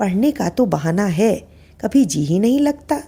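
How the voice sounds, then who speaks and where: A woman's rumbling put-on character voice at medium pitch, with very wide pitch swings and a moderate pace. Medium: read story. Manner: complaining, grumbling.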